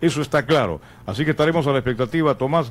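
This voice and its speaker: A man talks very fast at a fairly high pitch. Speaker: sports radio host. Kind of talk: sports talk radio discussion.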